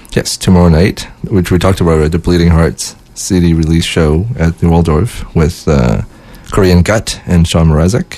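Over noticeable background noise, a man talks at a moderate pace. His pitch is very deep and low, with fairly even intonation and very even loudness. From Winnipeg, Canada. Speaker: guest co-host, local music organizer. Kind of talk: casual chat. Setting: studio.

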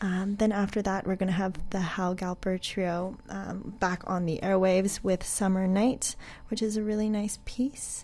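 A dark, mellow tone, somewhat breathy, at a moderate pace. The intonation stays monotone and flat, with hardly any pauses. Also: woman, medium pitch for a woman. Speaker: radio host. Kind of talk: radio DJ patter, friendly on-air show sign-off. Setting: radio studio broadcast. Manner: relaxed, chatty, casual.

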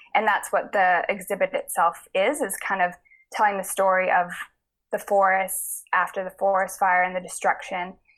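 In a Canadian accent, a woman uses an ordinary speaking voice at a moderate pace, with medium pitch and fairly even intonation. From Kootenays, British Columbia. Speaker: painter. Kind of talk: interview. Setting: remote call.

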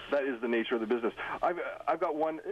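Speaking at a very fast pace, a man with a medium pitch shows ordinary pitch variation over noticeable background noise. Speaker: caller. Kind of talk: phone-in questions. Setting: phone call. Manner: quiet; halting.

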